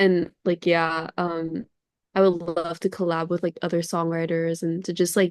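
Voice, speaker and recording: With an American accent, a woman speaks in a fairly low voice with monotone, flat intonation. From Singapore and California. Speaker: singer-songwriter. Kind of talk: interview. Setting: video call.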